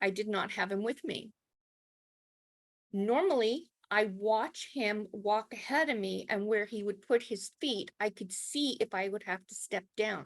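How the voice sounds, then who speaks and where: Speaking at a fairly slow pace with a Canadian accent, a woman uses a fairly high pitch and ordinary pitch variation, recorded with a dry, close sound and no echo. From Canada. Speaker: brain injury survivor and spiritualist minister. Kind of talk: personal testimony talk. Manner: slow, carefully enunciated.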